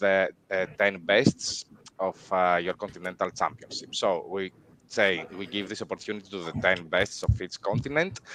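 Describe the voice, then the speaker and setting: A moderate pace carries the speech. The accent is non-native. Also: man. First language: not English. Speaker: event organizer. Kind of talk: livestream announcement. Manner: hesitant, many fillers.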